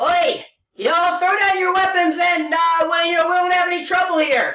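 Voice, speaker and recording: Shouting in a put-on character voice at extremely high pitch, the speaker keeps a moderate pace while an echo is audible. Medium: actual play. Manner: rough, slangy, blunt.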